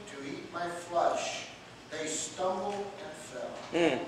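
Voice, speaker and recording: A man speaks very slowly in a room with strong echo and light background noise. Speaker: pastor. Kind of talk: scripture reading. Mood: devout, emotional interjections. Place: church. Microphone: camera far.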